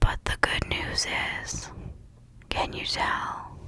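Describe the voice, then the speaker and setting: At a very slow pace, someone whispers while noticeable noise sits in the background. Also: woman. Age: middle-aged. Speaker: ASMR creator. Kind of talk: casual talk to camera.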